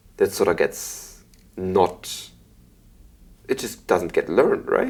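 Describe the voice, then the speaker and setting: A man with a Belgian accent talks at a fairly slow pace. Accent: Belgian German-speaking accent in English. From Belgium. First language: German. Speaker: podcast host. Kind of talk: interview.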